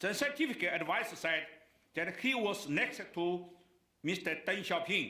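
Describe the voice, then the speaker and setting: Using a raised, projected voice with lively intonation, a man with a Chinese accent talks at a fairly slow pace amid audible room echo. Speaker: keynote speaker. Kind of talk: speech. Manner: halting.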